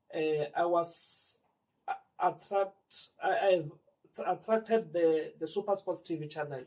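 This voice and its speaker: With a Limpopo accent, a man speaks at a high pitch and a very slow pace, his intonation fairly even. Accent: South African (Limpopo). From Limpopo, South Africa. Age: 40s. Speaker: community sports organiser. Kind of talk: interview answer.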